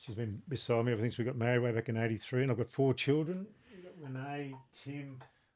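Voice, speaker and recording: With an Australian accent, a man speaks at a very fast pace and a medium pitch. His loudness swings widely, while his pitch varies in an ordinary way. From New South Wales, Australia. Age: 60s. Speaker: former rugby league player and shop owner. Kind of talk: casual chat.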